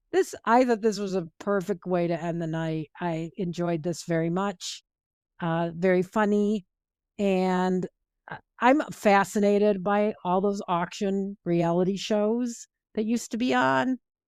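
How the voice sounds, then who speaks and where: Against a silent background on a very clean recording, a woman speaks at a fairly slow pace in an ordinary speaking voice, medium in pitch with ordinary pitch variation, the sound dry and close with no echo. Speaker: podcast co-host. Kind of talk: casual chat.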